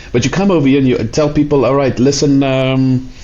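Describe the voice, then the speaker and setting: A man with a South African accent talks at a moderate pace. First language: Afrikaans. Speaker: immigration lawyer and podcast host. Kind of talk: interview.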